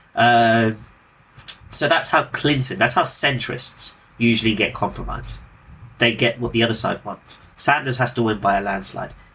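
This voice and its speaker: The speech moves at a moderate pace with ordinary pitch variation. Long pauses come frequently. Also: man, medium pitch for a man. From Britain. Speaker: podcast host. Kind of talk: casual political discussion.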